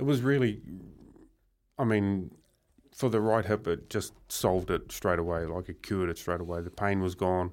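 Very deep, low-pitched man with a New Zealand accent, at a moderate pace with ordinary pitch variation and long, frequent pauses, on a very clean recording with a silent background. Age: 40s. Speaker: professional wood chopper. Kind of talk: radio interview.

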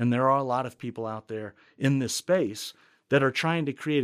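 On a very clean recording with a silent background and a dry, close sound with no echo, a man speaks at a moderate pace in a normal speaking voice, medium in pitch with ordinary pitch variation. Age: 40s. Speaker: university technology administrator. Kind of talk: interview.

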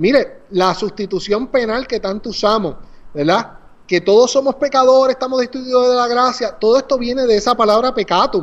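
A man talks at a moderate pace. His pitch is extremely high. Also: ordinary pitch variation. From Puerto Rico, Naguabo. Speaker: pastor and author. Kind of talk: casual interview about his book.

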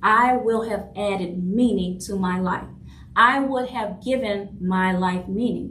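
A woman's medium-pitched voice with fairly even intonation and audible room echo. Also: fairly slow pace. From New Orleans, Louisiana. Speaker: podcast host, leadership coach and author. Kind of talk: solo monologue podcast.

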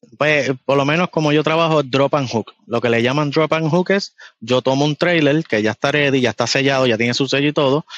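At a fairly quick pace, a man speaks with a fairly high pitch, ordinary pitch variation and very even loudness. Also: hardly any pauses, dry, close sound with no echo, quiet background. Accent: Puerto Rican. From Puerto Rico. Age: young. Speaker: truck driver. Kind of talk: casual interview.

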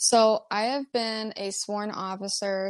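An ordinary speaking voice from a woman, medium in pitch, with fairly even intonation and an American accent. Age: 20s. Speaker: police officer. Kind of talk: interview, casual chat.

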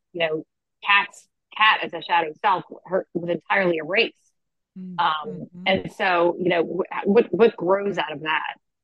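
A moderate pace and fairly even intonation in an unremarkable speaking voice. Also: woman, fairly low pitch for a woman. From Philadelphia. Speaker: author. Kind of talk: interview.

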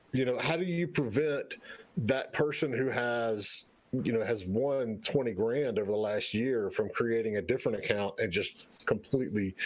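Ordinary pitch variation marks this voice in a Southern US accent. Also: man. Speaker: co-host, game business consultant. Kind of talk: casual interview chat. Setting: live-streamed online show.

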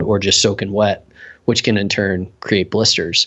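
A man speaks with an American accent. His pitch is fairly low and his pace moderate. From US South, South Carolina. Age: 30s. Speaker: boot company sales rep. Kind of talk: podcast interview. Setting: phone call.

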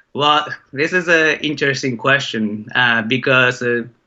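A man with a Japanese accent speaks slowly-ish at a medium pitch, keeping his intonation fairly even. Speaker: documentary filmmaker. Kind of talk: interview. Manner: hesitant, many filler sounds.

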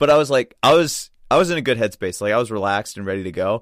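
In a very clean recording with a silent background and a dry, close sound with no echo, a man uses a normal speaking voice at medium pitch and a fairly quick pace. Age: 20s. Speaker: jiu-jitsu competitor. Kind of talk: casual chat. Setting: studio.

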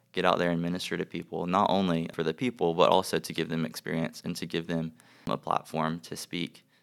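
A man with an American accent talks at a fairly quick pace in a very deep, low pitch. The recording is very clean, with a silent background. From US South, South Carolina. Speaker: ministry director, student. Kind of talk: casual chat.

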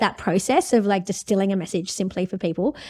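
In a very clean recording with a silent background, a woman with an Australian accent talks at a very fast pace in an animated tone, with ordinary pitch variation. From India. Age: 40s. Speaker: law professor. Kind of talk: interview.

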